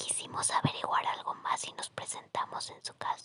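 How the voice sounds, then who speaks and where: A woman is whispering. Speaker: ASMR storyteller. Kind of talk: ASMR sleep story. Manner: whispered, soft-spoken.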